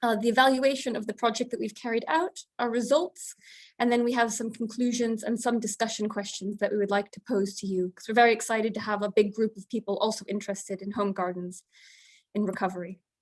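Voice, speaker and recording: Delivered at a very fast pace, the speech has big swings in loudness and a dry, close sound with no echo. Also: woman, fairly high pitch for a woman. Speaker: researcher. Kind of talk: webinar presentation. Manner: fast when excited.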